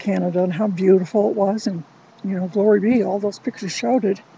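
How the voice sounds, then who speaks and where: Amid noticeable background noise, a woman with a medium-pitched voice talks at a fairly quick pace with ordinary pitch variation. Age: 60s. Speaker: vlogger. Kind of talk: casual monologue.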